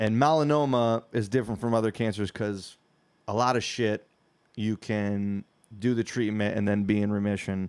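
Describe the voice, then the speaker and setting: A man's fairly low-pitched, a normal speaking voice with an American accent, at a moderate pace with fairly even intonation, on a very clean recording with a silent background. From Michigan, US (Whitehall). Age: 30s. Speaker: comedian. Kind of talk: casual chat.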